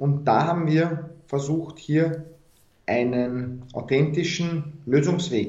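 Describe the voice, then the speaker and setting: In a Viennese accent, a man with a fairly high, somewhat breathy voice speaks at a very slow pace with ordinary pitch variation, and room echo is audible. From Austria, Vienna. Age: young. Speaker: founder of a deradicalisation initiative. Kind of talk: interview.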